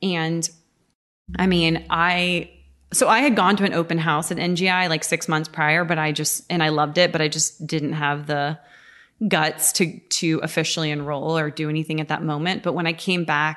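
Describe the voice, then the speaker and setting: A woman in a plain, everyday voice, fairly low in pitch, with fairly even intonation at a moderate pace over a quiet background. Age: 30s. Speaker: natural foods chef and cookbook author. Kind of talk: casual chat. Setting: in her home.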